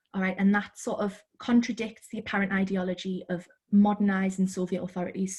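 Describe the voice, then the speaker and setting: At a fairly quick pace, a woman speaks with a medium pitch and a somewhat breathy sound. Her intonation is monotone and flat. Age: 20s. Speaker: author. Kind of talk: interview. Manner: hesitant with fillers.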